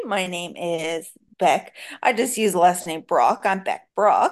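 This woman's voice has a medium pitch. She talks at a fairly slow pace. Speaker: guest with brain injury experience. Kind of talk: casual interview.

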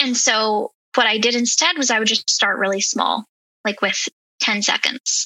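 Speaking at a moderate pace in a normal speaking voice, a woman keeps her loudness very even, with a fairly high pitch and ordinary pitch variation. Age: 30s. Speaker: health and wellness coach. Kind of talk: casual interview.

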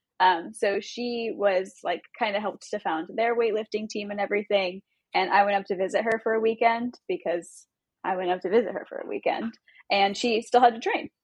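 A woman with an American accent talks at a fairly quick pace in a normal speaking voice, fairly high in pitch with ordinary pitch variation. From Southern California, Long Beach. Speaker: weightlifting coach. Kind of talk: casual interview.

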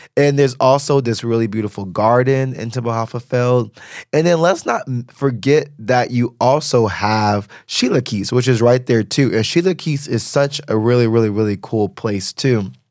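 A man with an ordinary speaking voice, medium pitch, ordinary pitch variation, a moderate pace and hardly any pauses, on a very clean recording with a silent background. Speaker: podcast host. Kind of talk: solo podcast monologue.

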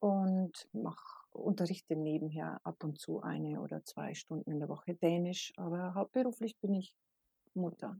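A woman speaks at a fairly slow pace with a medium pitch and ordinary pitch variation. Her somewhat breathy voice has a dark, mellow tone, recorded dry and close with no echo. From Bavaria, Regensburg. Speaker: teacher and mother. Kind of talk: casual interview.

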